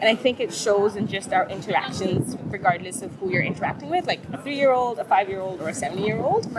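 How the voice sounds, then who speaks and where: A woman's very fast, lively delivery at a medium pitch, with noticeable background noise. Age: 30s. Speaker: street interviewee. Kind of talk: casual interview. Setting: outdoors on the street. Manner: halting, hesitant.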